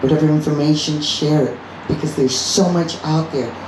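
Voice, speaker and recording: Over noticeable background noise and audible room echo, a woman with a very deep, low pitch speaks passionately at a moderate pace. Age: 60s. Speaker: doctor and cannabis advocate. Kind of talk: rally speech. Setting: live event with audience.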